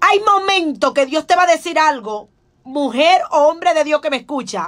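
Against a quiet background, a woman speaks at an extremely high pitch in a bright, sharp tone with an animated tone. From Dominican Republic. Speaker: pastor; pastor, preacher. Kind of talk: radio sermon. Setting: radio studio. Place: studio. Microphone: studio mic.

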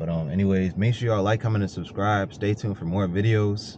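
A dark, mellow voice at a fairly quick pace, with ordinary pitch variation, a dry sound with no echo, and noticeable background noise. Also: man. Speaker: vlogger. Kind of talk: casual vlog chat. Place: car. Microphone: phone near.

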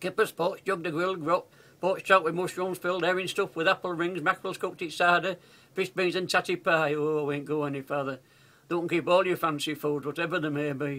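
Here a man talks in a Yorkshire accent at a very fast pace. His high pitch has a bright, sharp tone. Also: fairly even intonation. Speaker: grandfather reciting poem. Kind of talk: dialect poetry reading. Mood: warm, humorous, nostalgic. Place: home room. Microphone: webcam.

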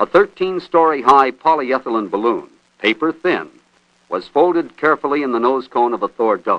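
At a moderate pace, this unremarkable speaking voice moves with lively intonation. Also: man, fairly high pitch for a man. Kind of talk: 1960s space documentary narration. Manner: formal, measured, authoritative newsreel-style delivery.

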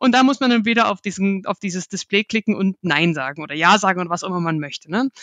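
Against a quiet background, a woman talks at a very fast pace with hardly any pauses, lively intonation and medium pitch, the sound dry and close with no echo. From Germany, Dresden (Saxony). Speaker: market research analyst. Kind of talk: interview conversation. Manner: mumbles a bit.

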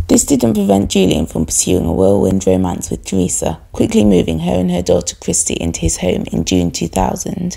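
A woman speaks with hardly any pauses over noticeable background noise. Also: moderate pace. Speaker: true crime video creator and baker. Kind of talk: true-crime narration. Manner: measured, storytelling tone, fairly formal.

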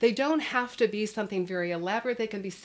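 The speaker is a woman. She varies her pitch in an ordinary way. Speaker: parenting educator. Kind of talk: educational talk to camera. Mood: warm, nostalgic. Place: studio.

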